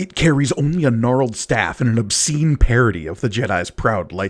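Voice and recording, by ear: The words are read aloud in a natural voice, the pitch varying in an ordinary way.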